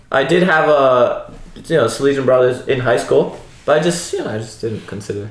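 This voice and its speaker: There is noticeable background noise as a man with an American accent speaks at a moderate pace with ordinary pitch variation. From New Jersey. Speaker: religious brother. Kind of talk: casual chat.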